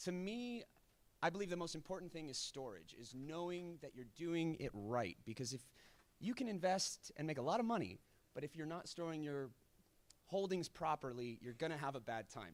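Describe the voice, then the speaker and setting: A man with a fairly high voice swings very widely in pitch as he talks. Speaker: conference speaker. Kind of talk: conference talk. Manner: fast.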